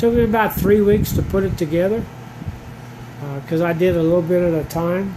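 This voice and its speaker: A man with a high voice speaks in a relaxed tone at a fairly quick pace and fairly even intonation, with audible room echo and noticeable background noise. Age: 70s. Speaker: hobby gardener vlogger. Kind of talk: casual how-to vlog. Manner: relaxed, hesitant with fillers.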